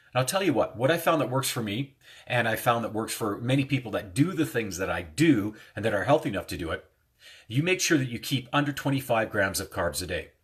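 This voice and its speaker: Very fast and somewhat breathy, a man speaks at a medium pitch with very wide pitch swings. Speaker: hypnotist and life coach. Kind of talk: casual self-help talk to viewers.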